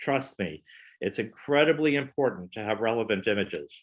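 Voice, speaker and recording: A man talks at a moderate pace with lively intonation. He has a plain, everyday voice. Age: 60s. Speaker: wedding photographer. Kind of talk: presentation.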